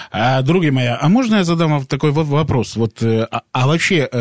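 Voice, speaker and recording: Dry and close with no echo, a man's voice moves at a moderate pace with lively intonation in an ordinary speaking voice. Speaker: radio co-host. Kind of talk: casual radio chat. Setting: radio studio.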